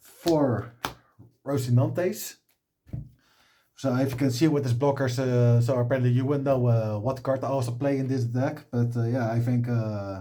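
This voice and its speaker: Medium-pitched male voice with a dark, mellow tone, at a moderate pace and fairly even intonation. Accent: non-native. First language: not English. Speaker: card game content creator. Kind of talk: deck profile tutorial. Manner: halting, many filler sounds.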